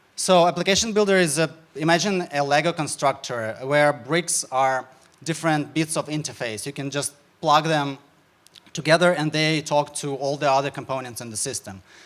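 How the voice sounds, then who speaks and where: With a Ukrainian accent, a man speaks at a moderate pace and a fairly high pitch, showing ordinary pitch variation. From Ukraine. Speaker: startup founder. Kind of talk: sales pitch. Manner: halting.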